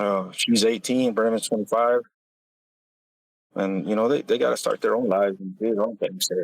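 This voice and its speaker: With a Texan accent, a man at a medium pitch speaks at a moderate pace with fairly even intonation and long, frequent pauses. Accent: Texan American. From West Texas. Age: 40s. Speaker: oil field worker and father. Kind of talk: casual interview. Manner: halting.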